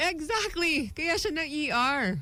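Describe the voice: Her tone is bright and sharp, with a high pitch and big pitch swings. The woman speaks at a fairly slow pace.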